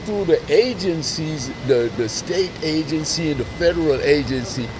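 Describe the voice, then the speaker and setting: Noticeable background noise surrounds a man who speaks fairly slowly in a fairly high voice. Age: 60s. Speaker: street interviewer and video blogger. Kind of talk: casual street interview.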